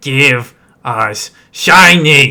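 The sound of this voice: Using a put-on character voice, a man speaks in a raspy, fairly high pitch.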